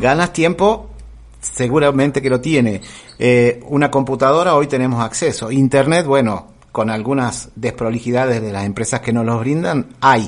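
A man's ordinary speaking voice at a medium pitch. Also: ordinary pitch variation, moderate pace. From Argentina, Córdoba. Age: 50s. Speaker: radio host. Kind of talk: interview.

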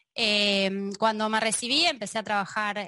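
A woman speaks at a medium pitch in a bright, sharp tone. The background is quiet. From Argentina. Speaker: data analyst and trainer. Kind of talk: casual chat.

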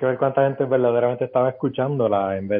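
A man's words come out very fast. The intonation remains fairly even. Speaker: podcast guest. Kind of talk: casual chat.

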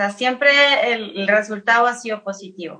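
Speaking at a fairly slow pace, a woman uses lively intonation in a Chilean accent. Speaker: singer-songwriter. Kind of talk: casual chat.

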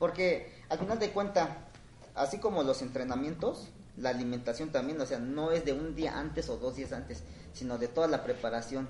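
A man speaks at a fairly high pitch and moderate pace with lively intonation. Noticeable background noise can be heard. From Oaxaca, Mexico. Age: 40s. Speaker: runner. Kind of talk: casual interview.

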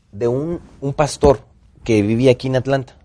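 In a Mexican accent, a man speaks with a dark, mellow tone. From Mexico, Tampico (Gulf coast). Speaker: actor and director. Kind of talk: casual interview storytelling. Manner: animated.

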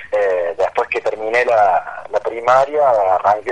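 Noticeable background noise sits behind the voice. The speaker keeps a moderate pace. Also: man. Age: 30s. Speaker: adult student and car salesman. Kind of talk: radio interview. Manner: lively.

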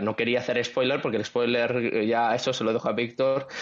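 A man's medium-pitched voice races along at a very fast pace amid noticeable background noise. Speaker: podcast co-host and writer. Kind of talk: casual chat.

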